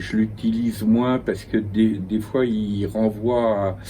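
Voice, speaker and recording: Very slow speech over noticeable background noise. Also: man. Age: 70s. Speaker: philosopher and essayist. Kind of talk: interview. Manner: halting, repeats words.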